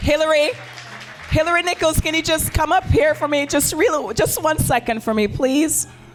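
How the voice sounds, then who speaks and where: A woman speaks in a high, animated voice with lively intonation at a moderate pace and very even loudness. Music plays in the background. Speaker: open mic night emcee. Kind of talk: live event hosting. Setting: stage with audience.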